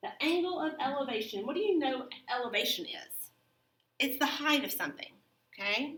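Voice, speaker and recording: In a room with audible echo, a woman with a Southern US accent talks at a moderate pace in a high, bright, sharp tone with lively intonation. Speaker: math teacher. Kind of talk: lecture. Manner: casual.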